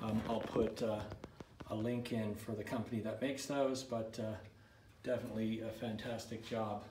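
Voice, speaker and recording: A man speaks at a moderate pace with monotone, flat intonation. Audible room echo and light background noise are present. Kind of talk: casual build-log walkthrough. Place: workshop. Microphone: phone near.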